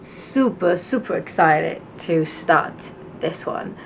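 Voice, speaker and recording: A woman with an Italian accent and lively intonation. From Italy. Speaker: book vlogger. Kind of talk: casual vlog chat.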